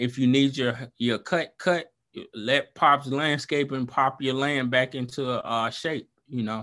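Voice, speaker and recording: A man speaks at a fairly slow pace in a Southern US accent, his tone bright and sharp at a medium pitch. His intonation stays fairly even against a quiet background. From Alabama, Montgomery. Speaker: small business owner. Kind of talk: casual interview.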